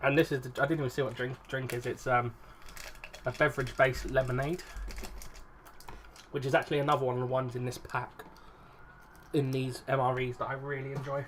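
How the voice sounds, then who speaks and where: Mumbling in an English accent at a very fast pace, monotone and flat, with long, frequent pauses and noticeable background noise. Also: man, medium pitch for a man. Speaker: YouTuber. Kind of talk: casual food review vlog.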